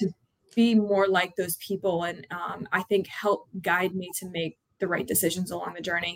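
A woman with a plain, everyday voice and an American accent speaks at medium pitch, at a moderate pace, with fairly even intonation. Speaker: college lacrosse head coach. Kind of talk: interview.

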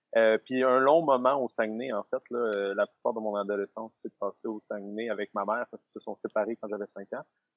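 This man talks with hardly any pauses and a fairly even intonation. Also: medium pitch for a man. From Quebec. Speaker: self-employed forest dweller. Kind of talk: interview. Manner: halting. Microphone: lag on the line.

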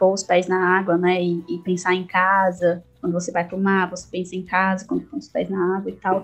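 The woman's delivery is somewhat breathy. She keeps to a moderate pace. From Ceará, Brazil (Quixadá, Sertão Central). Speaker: English teacher and writer on afrofuturism. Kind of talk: casual interview.

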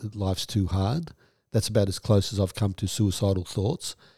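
A man with an Australian accent speaks in a fairly low pitch and a dark, mellow tone, his intonation fairly even, on a very clean recording with a silent background and a dry, close sound with no echo. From Western Australia. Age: 60s. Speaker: trauma therapist and podcast host. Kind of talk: casual interview chat.

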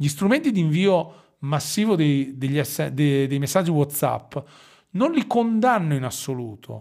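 Speaking in a Romagnolo accent, a man uses a fairly high pitch and lively intonation at a fairly slow pace. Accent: Romagnolo Italian with drawn-out S. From Romagna, Italy. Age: 40s. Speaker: digital marketing consultant. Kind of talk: casual interview.

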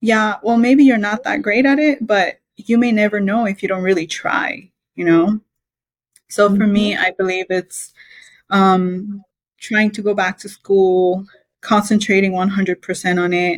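Her voice is somewhat breathy and medium in pitch, moving at a fairly slow pace. The sound is dry and close, with no echo. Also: ordinary pitch variation. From Belize. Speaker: mechanical engineer. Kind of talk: interview.

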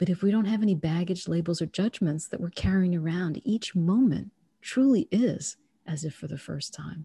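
Somewhat breathy and dark, mellow in tone, a woman speaks at a moderate pace with fairly low pitch and ordinary pitch variation, recorded dry and close with no echo. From born in Trinidad, raised in the United States. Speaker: author and energy healer, former accountant. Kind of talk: interview conversation; guided meditation. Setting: podcast interview.

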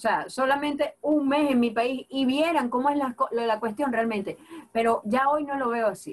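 A woman with a Venezuelan Llanos accent, her high-pitched voice animated, with ordinary pitch variation and very even loudness. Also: moderate pace. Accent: Venezuelan llanero. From Venezuela, Apure (llanos). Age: 30s. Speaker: comedian and social media creator. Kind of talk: casual interview.

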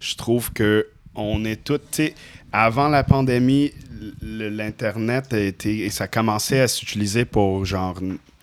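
Delivered at a very slow pace with ordinary pitch variation, the speech comes through on a very clean recording with a silent background. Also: man, fairly low pitch for a man. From Indonesia. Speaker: professional musician and artist. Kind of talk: casual chat.

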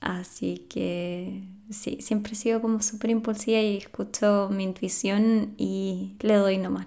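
The speaker has a Chilean accent. There are hardly any pauses. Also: woman. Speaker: podcast host and life coach. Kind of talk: solo podcast monologue.

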